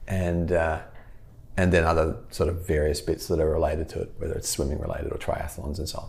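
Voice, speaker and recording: A man talks at a very fast pace. Audible room echo surrounds his voice. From Australia. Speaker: physical therapist. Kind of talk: podcast interview.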